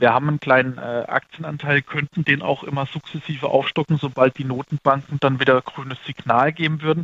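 A man with a fairly high pitch talks at a fairly quick pace in a monotone, flat intonation, with hardly any pauses. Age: 30s. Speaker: fund manager. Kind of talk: interview. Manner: halting.

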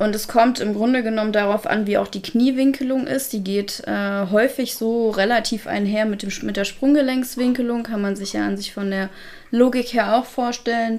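The voice is an unremarkable speaking voice, delivered at a moderate pace with fairly even intonation. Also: woman, fairly high pitch for a woman. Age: 30s. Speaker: canine physiotherapist. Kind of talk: casual chat.

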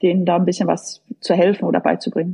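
Somewhat breathy, a woman talks at medium pitch. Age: 50s. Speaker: tennis coach, former pro player. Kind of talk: casual interview. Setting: online call.

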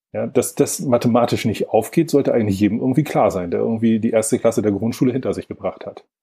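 A man's medium-pitched voice with a dark, mellow tone, fairly even intonation and a fairly quick pace. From northern Germany, Lübeck. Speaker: environmental organisation executive. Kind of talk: interview conversation.

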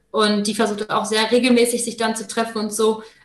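A woman's fairly high voice at a fairly quick pace, with audible room echo. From Germany, Paderborn. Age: 20s. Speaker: master's student. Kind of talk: casual interview.

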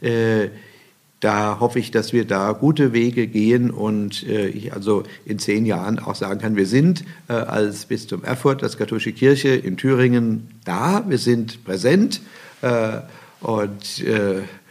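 The speaking voice is unremarkable, with ordinary pitch variation. The pace is fairly slow. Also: man. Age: 60s. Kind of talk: interview.

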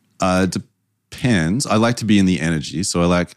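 Very deep and low, a man's voice moves at a moderate pace with ordinary pitch variation in an Australian accent. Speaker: brand strategist. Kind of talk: interview. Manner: dry, a little sarcastic.

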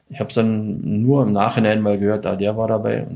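Fairly low and with a dark, mellow tone, a man's voice moves at a fairly quick pace. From Weißwasser, Saxony (East Germany). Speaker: former ice hockey player, doping victim. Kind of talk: interview.

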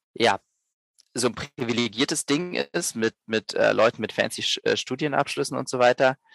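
Against a quiet background, a man speaks at a moderate pace with a dry, close sound and no echo. His medium-pitched voice shows vocal fry. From Berlin, Germany. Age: 30s. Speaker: social business co-founder. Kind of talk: podcast interview. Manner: halting, many repetitions and fillers.

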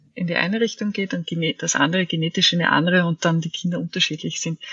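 With a plain, everyday voice, this woman holds a medium pitch and varies it in an ordinary way. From Austria, Vienna. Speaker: author and body therapist. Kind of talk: interview.

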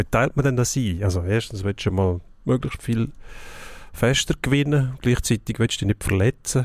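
A man speaks at a moderate pace with ordinary pitch variation in a dry, close recording with no echo that is very clean, with a silent background. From Switzerland, outside Zurich. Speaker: sports journalist. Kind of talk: casual sports debate.

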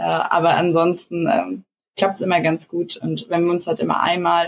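Speaking at a moderate tempo, a woman uses a fairly low pitch. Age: 20s. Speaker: startup co-founder. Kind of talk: interview. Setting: video call. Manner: hesitant, many fillers.

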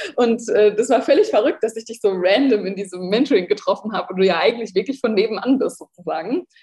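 A woman's fairly high voice at a very fast pace, hardly any pauses, and ordinary pitch variation. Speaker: entrepreneur and online shop owner, former lifestyle blogger. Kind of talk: casual interview conversation.

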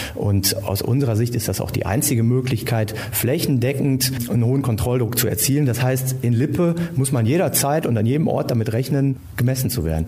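With noticeable background noise behind him, a man of medium pitch talks at a fairly quick pace with hardly any pauses, very even loudness and ordinary pitch variation. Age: 40s. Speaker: police officer. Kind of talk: interview.

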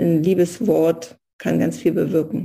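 A woman's voice at a very slow pace. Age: 50s. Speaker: pharmaceutical sales rep and engineer. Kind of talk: casual interview.

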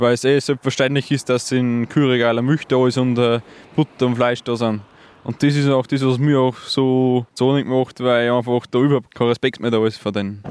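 A man's medium-pitched voice with an Upper Austrian accent, monotone and flat, at a moderate pace with very even loudness. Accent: Mühlviertel dialect. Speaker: farmer. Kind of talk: interview.

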